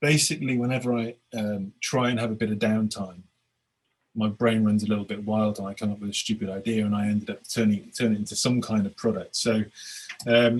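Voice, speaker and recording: A flat, monotone delivery in a British accent, at a fairly quick pace. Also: man, fairly low pitch for a man. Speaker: agile coach and author. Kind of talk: webinar presentation. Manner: repetitive, stammering starts.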